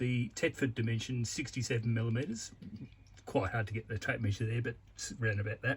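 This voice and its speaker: Fairly quick speech from a man, somewhat breathy, medium in pitch and with ordinary pitch variation. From Australia. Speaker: DIY video maker. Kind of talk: tutorial. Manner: casual, halting.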